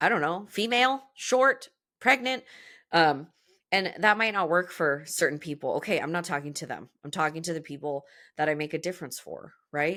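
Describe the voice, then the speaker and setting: Loud and animated, the voice has a bright, sharp tone and lively intonation at a moderate pace, on a very clean recording with a silent background. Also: woman. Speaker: podcast host and business coach for movement professionals. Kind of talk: solo podcast monologue.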